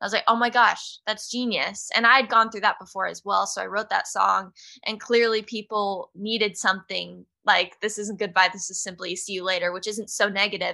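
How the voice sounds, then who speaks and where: A woman speaks at a fairly quick pace, her medium-pitched voice bright and sharp with vocal fry. Her loudness swings widely against a quiet background. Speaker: singer-songwriter. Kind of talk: interview.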